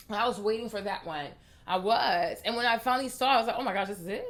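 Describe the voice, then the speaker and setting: A woman's animated, very fast speech with ordinary pitch variation. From Ivory Coast, later Washington DC. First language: French. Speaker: beauty vlogger. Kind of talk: casual vlog talk to camera. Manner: animated, repetitive emphasis.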